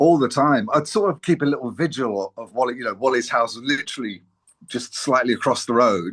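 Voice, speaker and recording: A medium-pitched man with a London accent, fairly quick in pace, with ordinary pitch variation, big swings in loudness and a quiet background. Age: 60s. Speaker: former musician, friend of band founder. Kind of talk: interview. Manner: halting.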